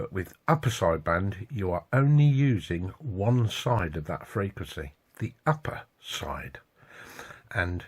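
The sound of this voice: Low-pitched with a slightly husky edge, a man speaks at a fairly slow pace using big pitch swings.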